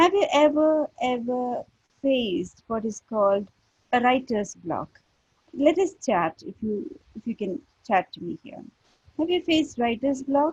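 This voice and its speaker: With a non-native accent, this voice moves at a fairly slow pace through very wide pitch swings and big swings in loudness, in a dry, close sound with no echo. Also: woman, high pitch for a woman. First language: not English. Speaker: creative writing teacher. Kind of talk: lecture. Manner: hesitant, many fillers.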